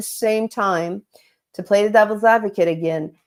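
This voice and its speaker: This is a woman's voice. Her pitch varies in an ordinary way. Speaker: executive coach. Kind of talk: live webinar talk. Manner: fast.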